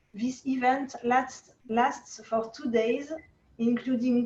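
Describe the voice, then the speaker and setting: In a French accent, a woman talks at a very slow pace with ordinary pitch variation. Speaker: oboe association president. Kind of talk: reading aloud. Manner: halting.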